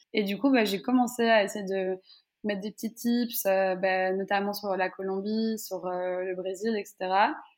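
A woman in an ordinary speaking voice, medium in pitch, with fairly even intonation and a fairly slow pace. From Belgium, Brussels. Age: 20s. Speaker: travel content creator. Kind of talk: interview.

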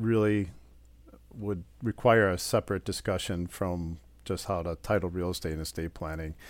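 A man speaks with a Wisconsin accent. His voice is very deep and low. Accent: Upper Midwest (Wisconsin). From Wisconsin, Port Washington. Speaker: estate planning attorney. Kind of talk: interview.

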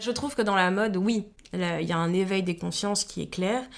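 At a moderate pace, a woman talks in a medium pitch, her pitch varying in an ordinary way. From Guadeloupe. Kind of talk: interview. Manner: hesitant, many fillers.

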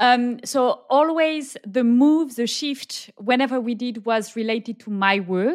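In a French accent, a woman's fairly high voice with ordinary pitch variation at a fairly slow pace. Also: very clean recording, silent background. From southern France. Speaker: expat working mother. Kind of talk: casual interview.

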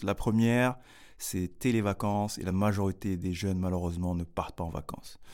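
A man with a very deep, low pitch and a dark, mellow tone speaks at a moderate pace with fairly even intonation. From Paris region, France (Grigny). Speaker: social entrepreneur, youth academy founder. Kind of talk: interview. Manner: halting, with repetitions.

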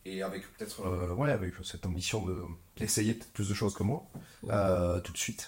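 A man speaks at a fairly slow pace. His voice is fairly low and somewhat breathy. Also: fairly even intonation. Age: 40s. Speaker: winemaker. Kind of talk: interview. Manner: halting.

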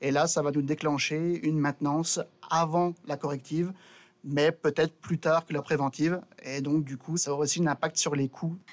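In a dry, close sound with no echo, a man speaks at a fairly high pitch in a monotone, flat intonation. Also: moderate pace. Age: 30s. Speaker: railway maintenance technician. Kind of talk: casual interview. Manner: halting, with repetitions.

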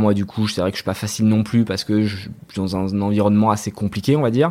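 The voice is a man's, with a fairly low pitch. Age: 30s. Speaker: entrepreneur. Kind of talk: casual interview. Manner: animated.

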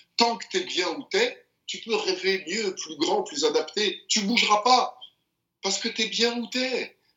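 At a very slow pace, a man with an extremely high voice speaks with very wide pitch swings. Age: 50s. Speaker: boxing champion and mental coach. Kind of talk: interview conversation.

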